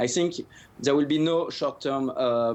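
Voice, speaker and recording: A man with a French accent speaks at a moderate pace, his medium-pitched voice keeping a fairly even intonation. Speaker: economic commentator. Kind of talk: news interview answer. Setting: remote news link. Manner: hesitant, many fillers.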